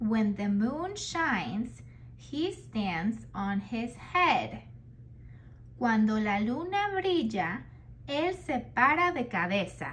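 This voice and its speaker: A woman with a Spanish accent at a very slow pace, audible room echo around her. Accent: native Spanish. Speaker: children's book reader. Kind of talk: reading aloud.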